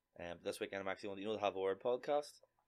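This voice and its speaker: A man with a Northern Irish accent speaks at a fairly low pitch. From Northern Ireland (Lurgan, County Armagh). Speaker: comedian. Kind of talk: casual chat.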